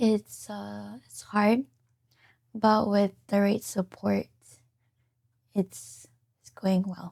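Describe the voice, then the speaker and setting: Soft-spoken and in a Micronesian accent, a woman at a medium pitch talks at a very slow pace with long, frequent pauses, ordinary pitch variation and big swings in loudness, recorded dry and close with no echo. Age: 20s. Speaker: patient. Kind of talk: interview. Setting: studio. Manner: hesitant.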